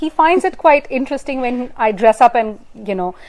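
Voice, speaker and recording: A woman with an Indian accent speaks at a high pitch with very wide pitch swings. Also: very clean recording, silent background. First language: Hindi. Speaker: news presenter. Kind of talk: casual interview. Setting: live stream from a newsroom.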